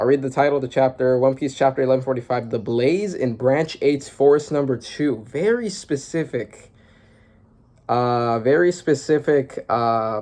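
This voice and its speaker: Medium-pitched male speech with ordinary variation in pitch. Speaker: manga reaction youtuber. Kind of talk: casual reaction commentary. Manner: fast; animated.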